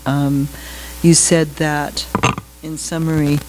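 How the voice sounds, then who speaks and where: A woman speaks at a very deep, low pitch with music playing in the background. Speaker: member of the public. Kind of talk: public comment. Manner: halting. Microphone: far from the mic.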